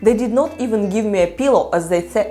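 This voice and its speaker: A woman with a Ukrainian accent, with music in the background and audible room echo. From Ukraine. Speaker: psychology content creator. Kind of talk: personal storytelling vlog.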